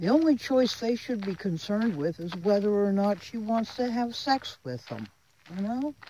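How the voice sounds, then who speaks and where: Amid noticeable background noise, a woman with a fairly high pitch speaks at a moderate pace with lively intonation. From Florida. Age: 70s. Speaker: vlogger. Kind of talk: casual monologue vlog. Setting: outdoors. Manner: animated.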